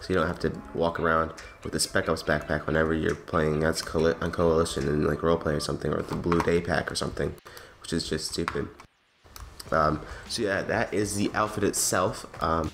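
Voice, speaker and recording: Over noticeable background noise, a man talks at a fairly quick pace in a very deep, low pitch with fairly even intonation. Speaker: gaming YouTuber. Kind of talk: game mod review. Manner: casual with many fillers.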